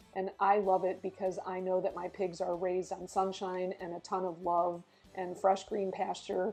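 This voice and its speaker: Music plays in the background as a woman speaks at a moderate pace. Her medium-pitched voice stays monotone and flat. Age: 60s. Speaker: founder of a draft horse rescue and farmer. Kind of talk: interview. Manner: many fillers and restarts.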